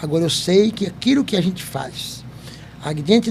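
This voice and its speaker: Noticeable background noise sits behind this man. His voice is high-pitched with lively intonation. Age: 70s. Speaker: company founder and podcast host. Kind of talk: interview chat.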